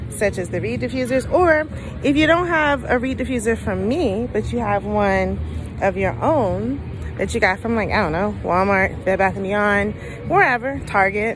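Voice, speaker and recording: A woman speaks in a dry recording with no echo. Faint music plays in the background. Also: moderate pace. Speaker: small business vendor. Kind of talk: casual vlog chat. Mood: cheerful, playful. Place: market. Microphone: phone near.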